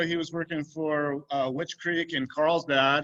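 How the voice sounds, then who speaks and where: With an American accent, a man talks at a fairly slow pace in a bright, sharp tone with fairly even intonation. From northern California. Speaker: winemaker hosting a tasting. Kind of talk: casual video call chat. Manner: halting, many fillers.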